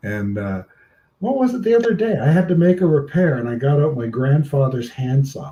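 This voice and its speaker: With a dark, mellow tone, a man speaks somewhat breathily at a fairly high pitch and a moderate pace, his pitch swinging very widely. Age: 60s. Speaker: live stream host. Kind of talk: casual chat.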